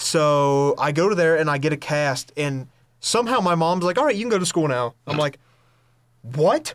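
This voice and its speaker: In an American accent, a man with a normal speaking voice talks at a moderate pace and fairly high pitch, his intonation lively, on a very clean recording with a silent background. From North Carolina, Hudson/Lenoir area. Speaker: podcast host, college student. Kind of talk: casual chat.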